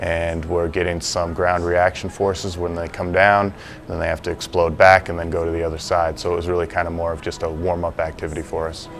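A man with a very deep, low pitch speaks at a fairly quick pace with hardly any pauses and monotone, flat intonation, faint music playing in the background. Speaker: strength coach. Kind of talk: interview answer. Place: gym.

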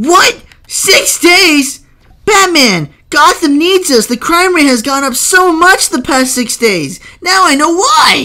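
Shouting in a high-pitched, put-on character voice, the speaker goes at a fairly slow pace. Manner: yelling, frantic.

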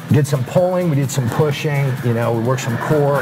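The speech moves at a fairly quick pace with music in the background. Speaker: fitness trainer. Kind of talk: coaching instruction. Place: hall. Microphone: camera far.

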